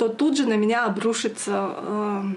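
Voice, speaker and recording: At a fairly slow pace, a woman with a Yakut accent speaks in a fairly high voice. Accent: Yakut accent in Russian. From Yakutia, Russia. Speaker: video blogger. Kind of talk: casual Q&A chat. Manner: hesitant, many fillers.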